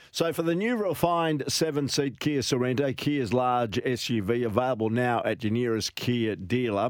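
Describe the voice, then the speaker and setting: Medium pitch for a man, ordinary pitch variation, very even loudness and a moderate pace. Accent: Australian. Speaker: sports radio host. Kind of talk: radio show. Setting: studio.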